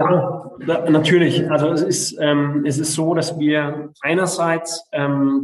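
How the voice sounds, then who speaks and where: The man's voice sits fairly high in pitch, with fairly even intonation. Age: 40s. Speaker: local politician. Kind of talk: interview. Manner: halting, many fillers.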